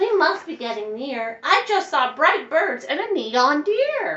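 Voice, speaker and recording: Someone uses a put-on character voice at a fairly slow pace. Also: woman, high pitch for a woman. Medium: read story.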